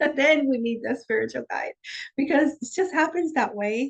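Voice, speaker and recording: Moderate pace, ordinary pitch variation, and a dry, close sound with no echo. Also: woman. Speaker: shamanic life coach. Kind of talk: guided meditation.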